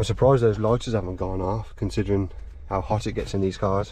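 The pace is moderate and the sound dry, with no echo. A man speaks over light background noise. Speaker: urban explorer vlogger. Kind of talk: casual vlog commentary. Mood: shocked, dismayed. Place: car. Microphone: phone near.

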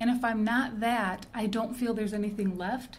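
A woman with a Detroit accent speaks at a moderate pace in a fairly high pitch. Audible room echo surrounds her voice. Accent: Midwestern American (Detroit). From Detroit (Hamtramck), US Midwest. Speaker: fiction writer and creative writing teacher. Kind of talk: interview.

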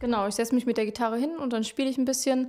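The background is quiet. A woman speaks in a dark, mellow tone. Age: 20s. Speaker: singer-songwriter; interviewee. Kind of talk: interview. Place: home room. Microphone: handheld.

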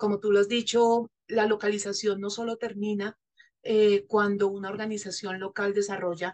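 A woman speaks fairly slowly, and the background is quiet. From Colombia. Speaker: NGO representative; panelist. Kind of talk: panel discussion. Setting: virtual session. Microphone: video call.

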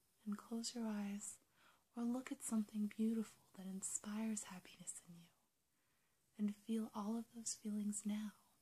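The voice is soft-spoken and somewhat breathy, with a soothing, gentle tone that is also dark and mellow. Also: woman. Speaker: ASMR creator role-playing a goddess. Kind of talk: guided meditation in character, ASMR role play. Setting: home video recording, apple eating sounds. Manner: soft-spoken, slow, soothing, gentle; warm, intimate, coaxing. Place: home room. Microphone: phone near.

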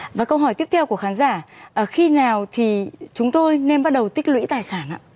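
Her high-pitched voice swings very widely in pitch, with a dark, mellow tone and a moderate pace. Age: young. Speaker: TV program host. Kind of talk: scripted presenting. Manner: formal. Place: studio. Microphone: lapel.

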